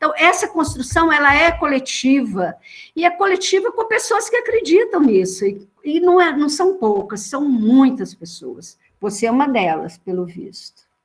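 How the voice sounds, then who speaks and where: Her pitch high, a woman swings it very widely while speaking fairly slowly. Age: 60s. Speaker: social worker. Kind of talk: panel discussion. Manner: animated.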